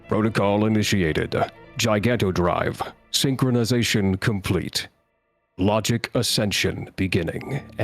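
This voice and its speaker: Using a resonant, put-on character voice at a fairly low pitch, a man speaks at a moderate pace with faint music in the background. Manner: mechanical, announcing.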